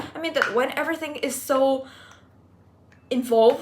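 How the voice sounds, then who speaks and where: A woman with a non-native accent speaks at a high pitch with fairly even intonation. Noticeable background noise runs underneath. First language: not English. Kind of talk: casual personal vlog talk to camera. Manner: slow.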